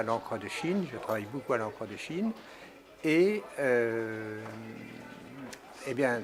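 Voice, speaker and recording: Despite a very slow pace, the man's intonation is lively. Noticeable background noise can be heard. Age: 80s+. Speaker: painter. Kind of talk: interview. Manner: halting.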